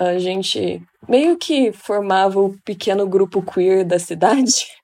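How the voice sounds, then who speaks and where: Speaking very slowly, a woman uses a medium pitch with ordinary variation and a dark, mellow tone. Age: 20s. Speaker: psychology student. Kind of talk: casual chat.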